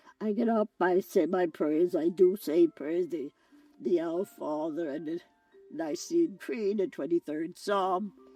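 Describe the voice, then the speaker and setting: Over music in the background, a woman speaks at a fairly slow pace with medium pitch and ordinary pitch variation, the sound dry and close without echo. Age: 80s+. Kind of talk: interview answer.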